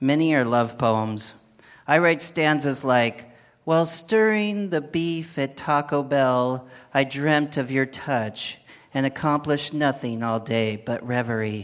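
A man talks at a fairly slow pace in an ordinary speaking voice, fairly high in pitch with ordinary variation. The recording is very clean, with a silent background. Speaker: poet. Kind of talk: comic poetry performance.

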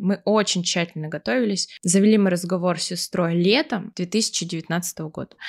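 A woman with an ordinary speaking voice talks at a moderate pace, medium pitch and ordinary pitch variation, in a very clean recording with a silent background and a dry, close sound with no echo. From Siberia, Russia. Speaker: podcast co-host. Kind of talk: casual chat.

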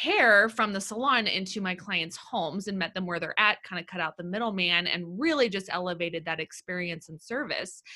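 A woman's medium-pitched voice with an American accent, bright and sharp in tone, at a moderate pace with ordinary pitch variation, on a very clean recording against a silent background. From Los Angeles, California. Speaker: business coach. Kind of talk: casual chat.

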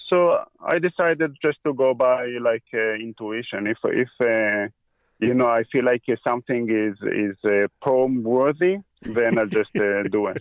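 A man with an Israeli accent, medium pitch, ordinary pitch variation and a fairly slow pace. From Israel, grew up on a kibbutz. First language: Hebrew. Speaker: equipment repair technician. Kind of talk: casual interview.

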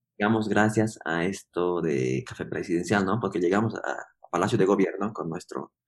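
A man speaks at a fairly low pitch with vocal fry and ordinary pitch variation. He hardly pauses at all. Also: moderate pace. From Bolivia, Yungas region. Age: 30s. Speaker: coffee producer and roaster. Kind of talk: interview. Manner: halting, many fillers and repetitions.

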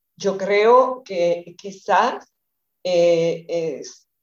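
A woman's voice sits at a medium pitch with a dark, mellow tone. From Dominican Republic, eastern region. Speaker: feminist activist and teacher. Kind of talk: radio interview. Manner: halting.

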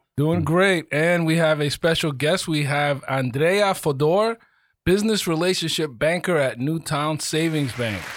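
On a very clean recording with a silent background, a man with an ordinary speaking voice talks at a fairly slow pace and a fairly high pitch, with ordinary pitch variation. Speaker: podcast host. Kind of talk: casual interview. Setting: studio.

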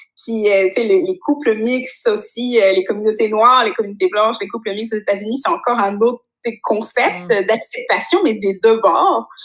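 A moderate pace of speech set over background music. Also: woman, fairly high pitch for a woman, ordinary pitch variation. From rural France. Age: 30s. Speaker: content producer. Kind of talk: casual chat.

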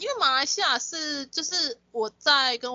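A woman speaks with very wide pitch swings. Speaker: podcast co-host. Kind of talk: casual chat.

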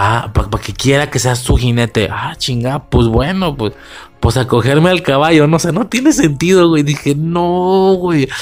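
Fairly high male voice with lively intonation at a moderate pace. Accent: Mexican. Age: 20s. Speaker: podcast host. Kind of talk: casual film commentary monologue. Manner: casual, profanity-laden.

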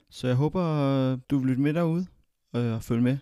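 Recorded very cleanly against a silent background, a man speaks at a fairly slow pace in a dark, mellow tone with ordinary pitch variation, the sound dry and close with no echo. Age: 20s. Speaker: podcast host. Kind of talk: podcast introduction monologue. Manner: hesitant, with filler sounds.

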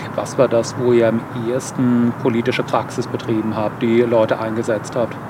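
A man at a medium pitch and moderate pace, flat and monotone, with noticeable background noise. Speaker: political video creator. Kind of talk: interview.

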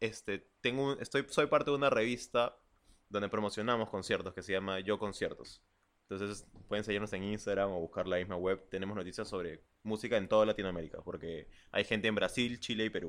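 Against a silent background on a very clean recording, a man talks at a fairly quick pace in an unremarkable speaking voice, fairly low in pitch, with ordinary pitch variation. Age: 20s. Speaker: podcast co-host. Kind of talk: casual chat.

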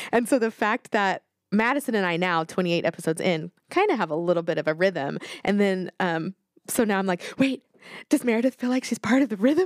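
Recorded very cleanly with a silent background and a dry, close sound with no echo, a woman has an unremarkable speaking voice at medium pitch with lively intonation. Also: fairly quick pace. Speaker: podcast host. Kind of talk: casual chat.

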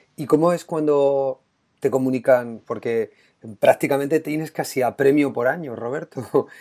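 Recorded very cleanly with a silent background, a man with an ordinary speaking voice talks at a fairly slow pace in a fairly high pitch with fairly even intonation. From Spain, La Mancha. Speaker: education podcast host, teacher. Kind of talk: interview.

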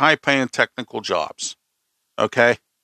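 Against a silent background on a very clean recording, a man with a Pittsburgh accent talks at a moderate pace in a fairly high, bright, sharp voice with an animated tone. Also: dry, close sound with no echo. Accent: Western Pennsylvania (Pittsburgh). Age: 50s. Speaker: podcast host. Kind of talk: opinion monologue.

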